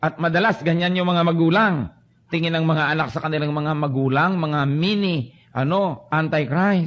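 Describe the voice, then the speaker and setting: A man with an ordinary speaking voice talks at a moderate pace with ordinary pitch variation. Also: fairly high pitch for a man. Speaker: preacher / pastor. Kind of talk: sermon preaching to a congregation. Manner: earnest, conversational.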